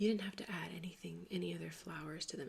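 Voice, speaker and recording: A woman is whispering. Her delivery is soft-spoken. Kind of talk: ASMR craft video, soft-spoken talk to camera. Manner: soft-spoken, whispered, relaxing.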